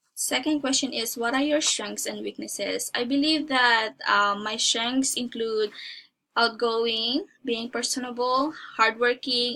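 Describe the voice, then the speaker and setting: A woman with a Filipino accent and a fairly high pitch speaks fairly slowly in a bright, sharp tone with ordinary pitch variation. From Philippines. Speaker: job applicant. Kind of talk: mock job interview. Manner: halting.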